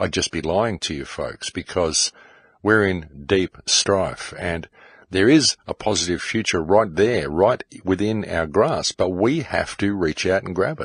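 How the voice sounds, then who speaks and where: In a plain, everyday voice with a fairly low pitch, a man speaks at a fairly slow pace with lively intonation, the sound dry and close with no echo over a quiet background. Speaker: podcast host. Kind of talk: monologue.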